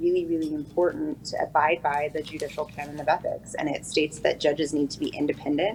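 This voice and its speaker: With an American accent, a woman talks at a fairly quick pace in a very deep, low pitch and a monotone, flat intonation. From eastern Oregon, US. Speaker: prosecutor and judicial candidate. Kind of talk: interview. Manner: fast.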